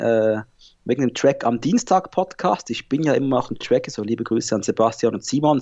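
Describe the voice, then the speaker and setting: A man is speaking. His pace is fairly quick. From Switzerland, Basel. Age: 30s. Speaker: podcast host. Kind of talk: casual chat.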